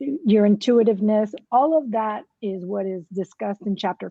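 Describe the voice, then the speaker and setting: In a Spanish accent, a woman is speaking. Her pitch varies in an ordinary way. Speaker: author. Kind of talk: interview.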